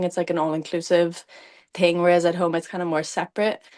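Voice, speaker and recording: In a Cork accent, a woman talks at a very fast pace. The background is quiet. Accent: Cork Irish. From Ireland, County Cork. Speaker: athlete, runner. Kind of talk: casual interview chat. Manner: casual, hesitant with many fillers.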